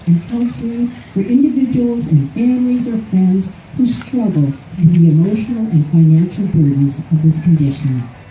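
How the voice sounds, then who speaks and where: A woman's fairly low voice with very wide pitch swings, amid noticeable background noise and audible room echo. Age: 70s. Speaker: speaker with Alzheimer's disease at charity walk. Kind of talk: prepared speech read aloud. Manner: formal.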